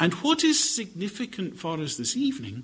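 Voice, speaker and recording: A man with a Scottish accent speaks at a high pitch. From Scotland. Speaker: bible teacher. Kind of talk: lecture. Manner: formal.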